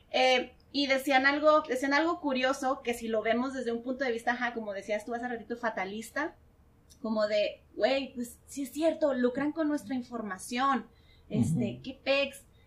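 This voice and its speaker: The woman's voice is high. Its pitch varies in an ordinary way. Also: moderate pace, big swings in loudness. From Mexico, Tijuana. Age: 30s. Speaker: marketer and podcaster. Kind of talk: casual chat.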